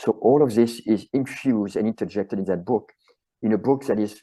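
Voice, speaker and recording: Against a quiet background, a man with a French accent speaks at a fairly quick pace in a dark, mellow voice. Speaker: chiropractor and author. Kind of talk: interview conversation.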